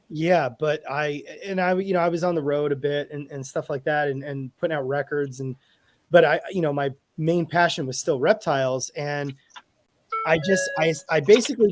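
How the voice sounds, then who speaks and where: Music plays in the background as a man speaks. His voice is fairly high in pitch, at a moderate pace. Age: 40s. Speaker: field herpetologist. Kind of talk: podcast interview. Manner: halting.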